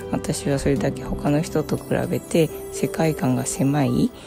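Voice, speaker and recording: A woman's relaxed tone with music in the background. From Tokyo, Japan. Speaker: online content creator. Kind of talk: casual talk to camera, spiritual musings. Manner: relaxed, casual, rambling.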